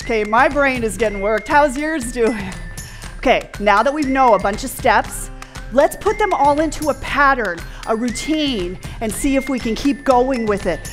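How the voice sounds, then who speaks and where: A woman's high-pitched voice at a moderate pace, with faint music in the background. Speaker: fitness trainer. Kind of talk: workout instruction. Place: gym.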